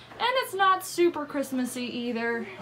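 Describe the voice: A woman's high, bright, sharp voice with lively intonation at a moderate pace, plus audible room echo.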